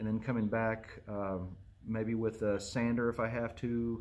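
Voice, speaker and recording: A man speaks in a flat monotone at a fairly low pitch, with audible room echo. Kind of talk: tutorial. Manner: casual, conversational.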